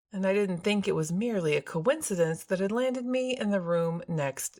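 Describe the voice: Lively intonation during plain reading aloud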